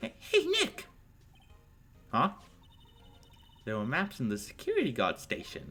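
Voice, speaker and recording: A man performs a put-on character voice. He leaves long, frequent pauses. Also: moderate pace. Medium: actual play. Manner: upbeat, playful.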